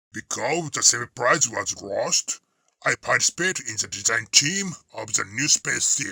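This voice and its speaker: In a cartoonish character voice, a man with a fairly high pitch and lively intonation talks at a moderate pace, the sound dry and close with no echo. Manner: blunt, teasing.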